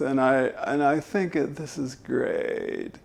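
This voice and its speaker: Over light background noise, a man performs a put-on character voice that is creaky and fairly slow in pace. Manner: drawn-out, running out of air.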